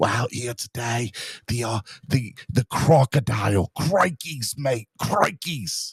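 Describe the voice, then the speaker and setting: Putting on a character voice in an Australian accent, a man speaks raspily at medium pitch and a fairly slow pace with lively intonation, in a dry, close sound with no echo. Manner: exaggerated, silly.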